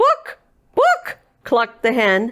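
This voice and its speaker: A woman's put-on character voice at a high pitch. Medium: read story.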